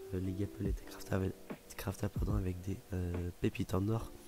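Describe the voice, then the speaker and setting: Over background music, a man with a very deep, low pitch speaks at a fairly quick pace with fairly even intonation. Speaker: youtuber storyteller. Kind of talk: casual anecdote storytelling. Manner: hesitant, many fillers.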